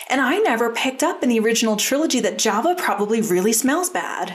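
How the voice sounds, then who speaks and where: This woman's voice is high in pitch with lively intonation, and noticeable background noise can be heard. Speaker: podcast host. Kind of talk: casual chat.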